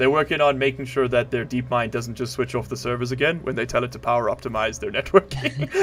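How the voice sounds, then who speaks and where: A very fast, nearly pause-free delivery with fairly even intonation over noticeable background noise. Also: man, medium pitch for a man. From South Africa. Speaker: gaming streamer. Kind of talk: casual live stream chat.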